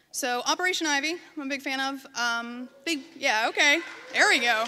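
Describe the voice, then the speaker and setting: A raised, projected voice in an American accent, bright and sharp in tone, with lively intonation. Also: woman. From western Pennsylvania, near Pittsburgh. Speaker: designer and photographer, conference speaker. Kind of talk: conference talk. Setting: stage with audience. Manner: loud; casual, filler-heavy. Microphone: microphone close to her.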